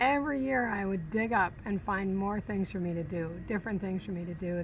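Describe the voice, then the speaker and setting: A woman with a normal speaking voice and an American accent speaks at a fairly quick pace, at a medium pitch with ordinary pitch variation. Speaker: retired teacher. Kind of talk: casual interview chat.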